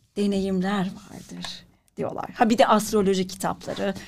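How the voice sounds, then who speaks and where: A woman speaks at a very slow pace. Her voice is somewhat breathy, at medium pitch. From Turkey, Ankara. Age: 40s. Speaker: writer and actress. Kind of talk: interview.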